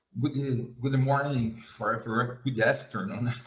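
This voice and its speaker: A man with a Portuguese accent speaks very slowly in monotone, flat intonation. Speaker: agricultural researcher. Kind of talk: presentation. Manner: halting.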